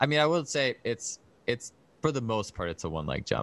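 A man with an American accent and an ordinary speaking voice, lively in intonation and moderate in pace, over a quiet background. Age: 30s. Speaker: strength and track coach, author. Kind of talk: podcast interview.

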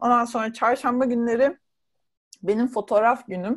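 This is a plain, everyday voice. A woman speaks at a fairly high pitch and a moderate pace. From Turkey, Burdur. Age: 40s. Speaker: travel writer and blogger. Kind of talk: casual interview.

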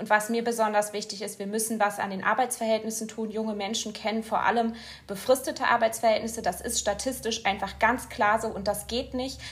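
Over noticeable background noise, a woman speaks at a fairly quick pace and a fairly high pitch in a monotone, flat intonation. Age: 20s. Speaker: politician. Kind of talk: interview. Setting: studio.

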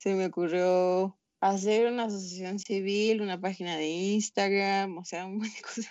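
The delivery is monotone and flat, with hardly any pauses. It moves at a moderate pace. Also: woman, medium pitch for a woman. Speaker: environmental nonprofit founder. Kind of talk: casual chat.

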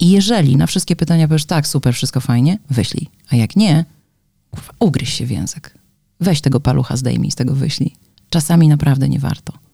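A woman talks very fast in a very deep, low voice with vocal fry. Her tone is dark and mellow, her intonation lively. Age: 40s. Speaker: podcast co-host. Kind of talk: casual chat.

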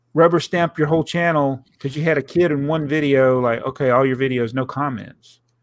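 In a Southern US accent, a fairly high-pitched man speaks at a moderate pace with fairly even intonation on a very clean recording with a silent background. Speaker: podcast host and YouTuber. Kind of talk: casual chat.

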